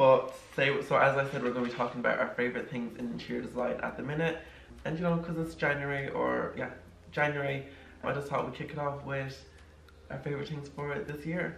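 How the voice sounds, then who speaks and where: Amid light background noise and audible room echo, a man talks very fast with fairly even intonation. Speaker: interior design vlogger. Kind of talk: casual vlog chat. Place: home room.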